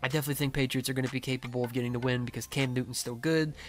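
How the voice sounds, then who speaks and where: Quiet and monotone, a man of medium pitch speaks flatly on a very clean recording with a silent background. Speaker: sports video creator. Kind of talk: casual commentary. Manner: casual, filler-heavy.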